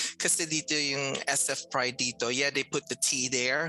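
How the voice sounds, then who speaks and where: Music in the background under a woman's very deep, low voice, fairly slow and with fairly even intonation. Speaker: transgender health program manager. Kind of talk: casual chat.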